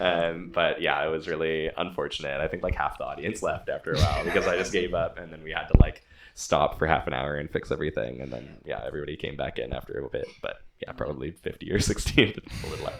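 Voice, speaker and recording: Over noticeable background noise, a man rushes along at a very fast pace with hardly any pauses and big swings in loudness. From Victoria, Canada. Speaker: musician. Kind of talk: casual chat.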